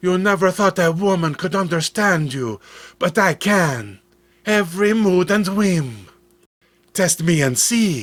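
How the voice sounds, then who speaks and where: A man does a put-on character voice, talking high-pitched and at a fairly slow pace. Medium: read story. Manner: soft, tender.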